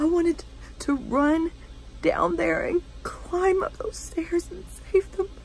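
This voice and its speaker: A quiet, strained woman's voice, very slow with long, frequent pauses and big swings in loudness, dry with no echo over light background noise. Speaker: 911 operator character, monologue performer. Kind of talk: scripted dramatic monologue, first-person acted storytelling. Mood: somber, emotional. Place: home room. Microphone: phone near.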